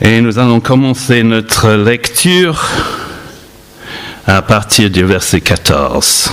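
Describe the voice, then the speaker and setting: Amid noticeable background noise, a medium-pitched man speaks very slowly with lively intonation, very even loudness, and long, frequent pauses. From London, England. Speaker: pastor. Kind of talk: sermon.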